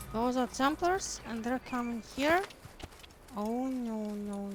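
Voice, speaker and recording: In a Ukrainian accent, a woman speaks at a very slow pace with long, frequent pauses. Her intonation is lively, and her loudness swings widely. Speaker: video game streamer. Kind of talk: gameplay commentary. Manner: animated.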